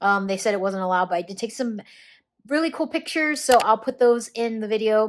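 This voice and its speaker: A woman's fairly high voice at a very fast pace, with lively intonation. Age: 20s. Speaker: lifestyle and personal finance vlogger. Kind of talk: travel vlog. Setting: hotel room. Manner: casual, filler-heavy.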